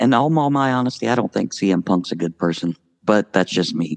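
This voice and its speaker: Over a quiet background, a man with ordinary pitch variation comes through with a dry, close sound and no echo. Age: 50s. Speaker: tabletop wrestling game fan. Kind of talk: casual chat.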